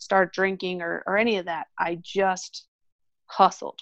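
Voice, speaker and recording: In a normal speaking voice with a General American accent, a woman talks at a moderate pace, medium in pitch and fairly even in intonation. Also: dry, close sound with no echo. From Colorado. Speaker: orthodontist. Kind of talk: interview.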